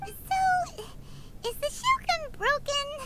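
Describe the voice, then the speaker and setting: An extremely high, put-on character voice. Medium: video game. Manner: questioning.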